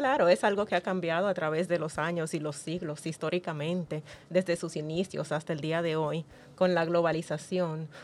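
A woman with a plain, everyday voice, fairly low in pitch, at a moderate pace with fairly even intonation, in a very clean recording with a silent background. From United States. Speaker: school educator. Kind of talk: podcast panel discussion.

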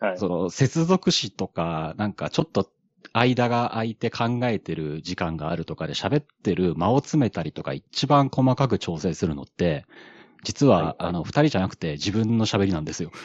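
A man speaks at a moderate pace in a fairly low pitch. His pitch swings very widely. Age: middle-aged. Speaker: podcaster. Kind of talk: casual chat. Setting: online audio space.

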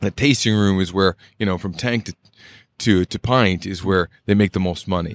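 A man with an American accent, an ordinary speaking voice, fairly low pitch and fairly even intonation at a moderate pace, in a very clean recording with a silent background and a dry, close sound with no echo. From Boise, Idaho. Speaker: craft brewer, Navy veteran. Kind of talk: casual interview chat. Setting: at a bistro.

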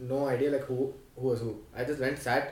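This man talks at a fairly high pitch. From Delhi, India; South Indian family. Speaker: podcast host, college student. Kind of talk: casual chat.

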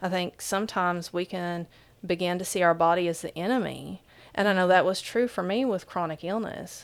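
A woman speaks at a fairly quick pace with an Appalachian accent, her pitch medium and her intonation fairly even. The recording is very clean, with a silent background. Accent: Appalachian, noticeable. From southeastern Kentucky, Appalachia. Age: 40s. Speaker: author and speaker. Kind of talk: interview conversation.

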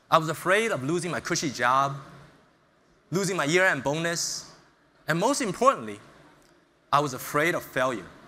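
A man with a bright, sharp tone and a fairly high pitch talks at a moderate pace, leaving long, frequent pauses. There is audible room echo. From US Northeast (Brooklyn, New York). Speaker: startup founder and CEO. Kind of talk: motivational talk. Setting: stage with audience.

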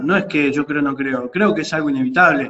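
With an Argentine accent and lively intonation, a man speaks amid noticeable background noise and audible room echo. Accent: Rioplatense Argentine Spanish. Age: 40s. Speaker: sports association president. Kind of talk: radio interview.

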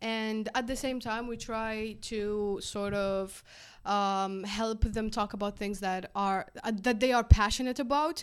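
Speaking with an Algerian accent at a fairly slow pace, a woman with a fairly high pitch keeps fairly even intonation while her loudness swings widely, on a very clean recording with a silent background. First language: Algerian Arabic. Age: 20s. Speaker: physics student and startup co-founder. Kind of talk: casual chat.

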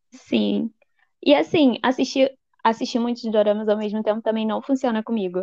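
Dark, mellow tone at a moderate pace, ordinary pitch variation, dry and close sound with no echo. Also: woman, fairly high pitch for a woman. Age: 20s. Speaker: journalism student and blog administrator. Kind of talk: casual chat.

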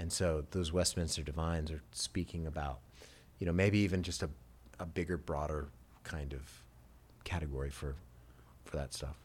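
A man with a very deep, low pitch and vocal fry talks at a moderate pace with long, frequent pauses and fairly even intonation, on a very clean recording with a silent background. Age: 50s. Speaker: pastor. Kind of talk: casual chat. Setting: studio.

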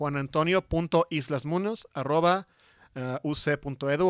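A man with ordinary pitch variation, on a very clean recording with a silent background. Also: dry, close sound with no echo. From Mexico, San Luis Potosí. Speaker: industrial design professor. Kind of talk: interview. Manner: halting, many fillers.

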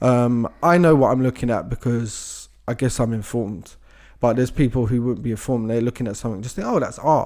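The recording is very clean, with a silent background. A man talks at a fairly quick pace in a medium pitch with a dark, mellow tone. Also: ordinary pitch variation. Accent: British. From Britain. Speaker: podcast co-host. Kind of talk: casual chat.

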